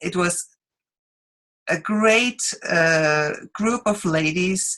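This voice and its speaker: Here a woman talks with a Swiss accent. Her intonation is lively. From Switzerland. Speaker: direct sales presenter. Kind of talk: business opportunity presentation. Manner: halting, many fillers.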